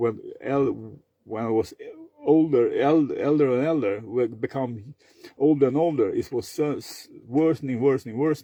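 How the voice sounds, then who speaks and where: Speaking at a moderate pace, a man with a Swedish accent has a fairly high pitch and ordinary pitch variation. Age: 50s. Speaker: vlogger. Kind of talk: personal monologue. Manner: halting, many fillers; repetitive stuttering.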